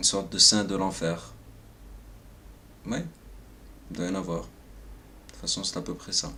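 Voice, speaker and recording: A soft-spoken man with a very deep, low pitch, vocal fry and a bright, sharp tone speaks at a moderate pace with very wide pitch swings and long, frequent pauses, amid audible room echo. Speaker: vlogger. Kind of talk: personal monologue. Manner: hesitant.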